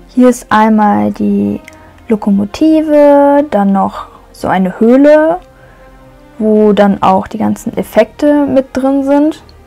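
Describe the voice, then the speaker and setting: A woman talks at a very slow pace with ordinary pitch variation. Faint music plays in the background. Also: long, frequent pauses. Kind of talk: casual tour commentary. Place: hall. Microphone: phone near.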